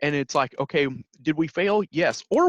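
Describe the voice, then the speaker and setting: Recorded dry and close with no echo against a quiet background, a man speaks with a Midwestern accent. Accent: Midwestern twang. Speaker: podcast host, youth extension worker. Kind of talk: casual podcast interview.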